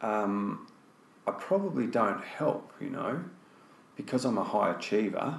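Over noticeable background noise, a man in an Australian accent speaks at a medium pitch and a fairly slow pace, with lively intonation and long, frequent pauses. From Australia (Tasmania, Melbourne). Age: 50s. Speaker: fly fishing guide and casting instructor. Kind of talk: casual interview conversation. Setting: face to face sit-down.

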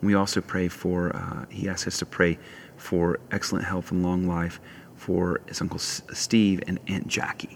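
A man with a very deep, low pitch and a warm tone speaks at a fairly slow pace in monotone, flat intonation. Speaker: prayer leader. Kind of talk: guided prayer and worship; fervent intercessory prayer. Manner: warm, earnest, fervent.

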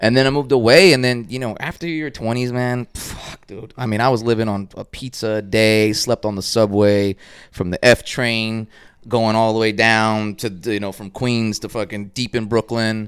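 Someone with an American accent talks at a moderate pace with fairly even intonation and big swings in loudness. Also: man, medium pitch for a man. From Dallas, Texas. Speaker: artist. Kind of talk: casual chat. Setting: at home studio. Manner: mumbling.

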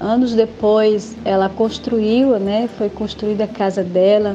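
Over noticeable background noise, a woman talks in a flat monotone at a fairly high pitch. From rural Bahia, Brazil. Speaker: former student and parent. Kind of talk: testimony. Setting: recorded audio message.

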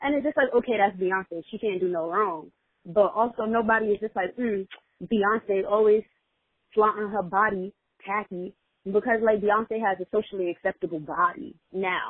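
A woman with an unremarkable speaking voice talks at a moderate pace in an American accent. Her medium pitch varies in an ordinary way. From New York. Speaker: podcast co-host. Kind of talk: casual chat.

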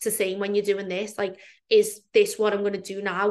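A woman talks very fast at a medium pitch. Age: 30s. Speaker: fitness coach. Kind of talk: casual chat.

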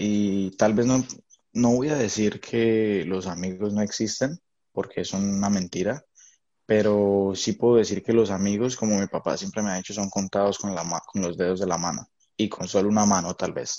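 A man's fairly low, dark, mellow voice at a moderate pace, with fairly even intonation over a quiet background. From Colombia. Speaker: podcast co-host. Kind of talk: casual chat.

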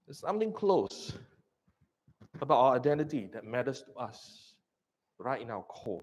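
A man with a Singaporean accent speaks at a moderate pace in a medium pitch, his voice swinging very widely up and down, with long, frequent pauses. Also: big swings in loudness. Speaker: pastor. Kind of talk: sermon.

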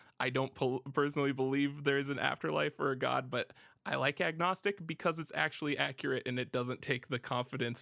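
A man's medium-pitched voice in a Midwestern American accent with vocal fry, fairly quick and with ordinary pitch variation, dry and close with no echo, on a very clean recording with a silent background. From US Midwest, small-town Ohio. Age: 20s. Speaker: podcast host. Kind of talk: casual chat. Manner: animated.

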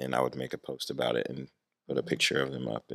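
The recording is very clean, with a silent background and a dry, close sound with no echo. A man speaks in a calm, relaxed tone. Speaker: youth ministry program director. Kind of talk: casual interview.

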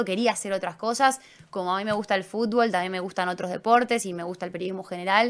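A woman talks at a medium pitch with fairly even intonation. Her pace is very fast. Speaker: sports journalist. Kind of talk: casual interview. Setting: studio.

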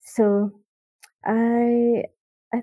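A woman speaks with an Indonesian accent. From Indonesia, Jakarta. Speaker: children's book illustrator. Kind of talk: casual chat. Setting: remote call.

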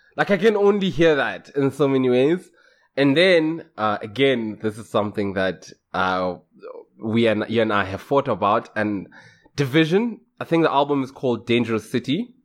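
A loud man's voice at medium pitch, with very wide pitch swings and a moderate pace, in a very clean recording with a silent background. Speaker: podcast co-host. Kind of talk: casual chat. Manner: loud, excitable.

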